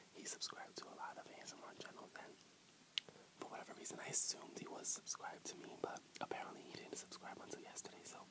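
Against loud background noise, a man whispers very fast and soft-spoken. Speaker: ASMR eating vlogger. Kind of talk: casual vlog chat. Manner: soft ASMR whisper, close to camera. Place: home room. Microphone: earbuds.

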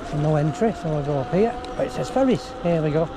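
The pace is fast and the intonation lively. Background noise is clearly audible. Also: man, fairly high pitch for a man.

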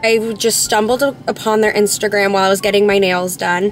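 A woman's voice with ordinary pitch variation, in a dry sound with no echo, over music in the background. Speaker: vlogger. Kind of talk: casual vlog chat. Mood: mildly upset, storytelling. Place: car. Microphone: phone near.

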